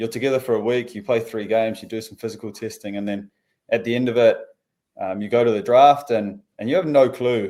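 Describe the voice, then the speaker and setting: A man talks fairly quickly in a dark, mellow tone at a medium pitch. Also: ordinary pitch variation. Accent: New Zealand. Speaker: professional footballer. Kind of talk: interview. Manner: casual, with many fillers.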